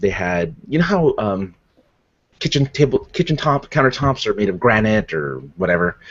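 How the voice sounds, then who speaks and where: With lively intonation, a man delivers his words at a fairly quick pace. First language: not English. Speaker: podcast host. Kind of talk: casual chat.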